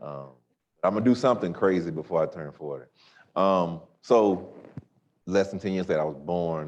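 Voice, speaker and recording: Speaking with an Alabama accent, a man uses a very deep, low pitch at a moderate pace, with long, frequent pauses and big swings in loudness. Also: ordinary pitch variation. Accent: Southern US (Alabama). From US South, Tuskegee, Alabama. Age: 30s. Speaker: pastor. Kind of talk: panel talk.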